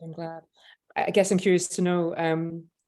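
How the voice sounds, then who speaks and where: A woman with a Scottish accent speaks at a moderate pace in a fairly low pitch, with a dark, mellow tone. Her intonation is flat and monotone, and the recording is very clean over a silent background. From Scotland. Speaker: panel moderator. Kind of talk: panel discussion. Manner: hesitant, many fillers.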